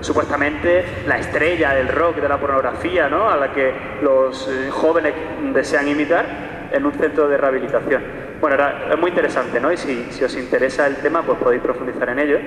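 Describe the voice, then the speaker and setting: A man's fairly high voice at a fairly quick pace with fairly even intonation, amid audible room echo and noticeable background noise. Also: very even loudness. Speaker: psychologist and sexologist. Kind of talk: public talk. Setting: church hall with live audience. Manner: fast.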